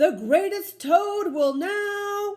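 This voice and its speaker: Someone puts on a squeaky character voice. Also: woman, extremely high pitch for a woman. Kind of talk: stage announcer. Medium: read story. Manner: grand, showy.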